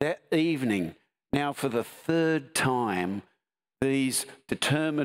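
This is plain reading aloud with lively intonation. The background is quiet.

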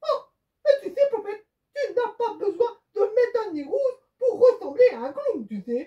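A cartoonish character voice, extremely high in pitch, at a moderate pace. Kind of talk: children's puppet show. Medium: puppet show. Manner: teasing, mildly exasperated.

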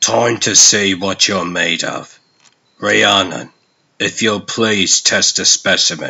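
Putting on a character voice, a man speaks slowly at a low pitch with vocal fry, a bright, sharp tone and ordinary pitch variation.

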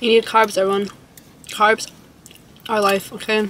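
A woman talks at a moderate pace in a monotone, flat intonation. The sound is dry with no echo, over light background noise. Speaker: vlogger. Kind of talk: casual vlog chat. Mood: playful, relaxed. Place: car. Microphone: phone near.

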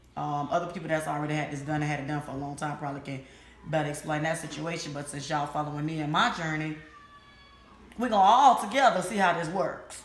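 This woman has a very deep, low pitch. Her voice carries audible room echo. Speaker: vlogger. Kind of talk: casual vlog chat. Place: home room. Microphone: phone near.

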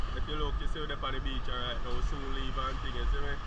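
A man's voice has a dry sound with no echo, set against loud background noise. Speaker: vlogger. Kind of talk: casual vlog chat. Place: beach. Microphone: phone near.

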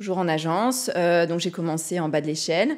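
This is a woman speaking with ordinary pitch variation. The background is quiet. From Brittany, France. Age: 40s. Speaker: real estate investor; podcast guest. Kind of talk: casual interview. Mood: calm, reflective. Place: studio. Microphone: studio mic.

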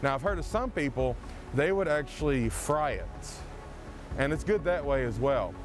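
Over clear background music, a man speaks at a moderate pace in a dry sound with no echo. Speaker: forager guide. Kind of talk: tutorial. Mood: calm, warm. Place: waterside. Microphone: lapel.

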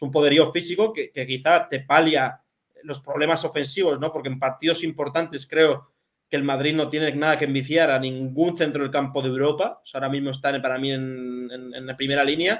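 Speaking at a fairly quick pace, a man keeps a fairly even intonation over a quiet background. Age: 20s. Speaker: football journalist; remote guest. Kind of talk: casual chat. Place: home room.

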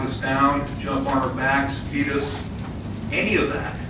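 Over noticeable background noise and audible room echo, a man talks at a moderate pace. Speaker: public commenter. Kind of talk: public comment speech. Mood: defiant, forceful. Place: hall.

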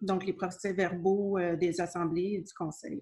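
A woman speaks in a somewhat breathy voice. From Quebec. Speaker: city clerk; council meeting chair or clerk. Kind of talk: municipal council meeting. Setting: closed-door council chamber. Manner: formal. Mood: calm, formal. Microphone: video call.

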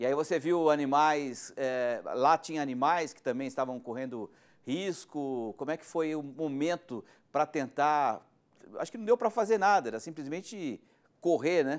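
A man speaks at a moderate pace with lively intonation and big swings in loudness. The background is quiet. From Brazil. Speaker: news presenter. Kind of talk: news interview. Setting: studio, guest connected remotely. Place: studio.

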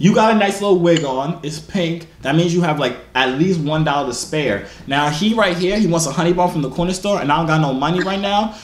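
With audible room echo, a man talks at a fairly quick pace with few pauses, a fairly high pitch and ordinary pitch variation.

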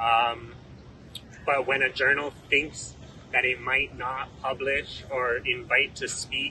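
Over light background noise, a man speaks in monotone, flat intonation, with a dry sound that has no echo. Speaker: law student activist. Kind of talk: press conference speech. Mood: earnest, firm. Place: street. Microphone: handheld.

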